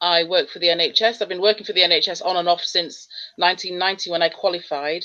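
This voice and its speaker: A very fast speaker with a Leeds accent and fairly even intonation. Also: woman, medium pitch for a woman. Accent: Leeds accent, kept. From northern England, Leeds. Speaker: radiographer. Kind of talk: casual interview.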